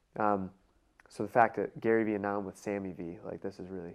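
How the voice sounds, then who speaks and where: A man talks with an American accent. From US Midwest, Cleveland, Ohio. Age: 30s. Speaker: sales expert and entrepreneur. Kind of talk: interview.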